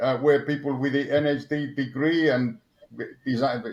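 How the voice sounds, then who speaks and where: A man with an Argentine accent at a moderate pace. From Argentina. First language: Spanish. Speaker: motorsport engineer. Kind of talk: interview. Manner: halting, many repetitions and fillers.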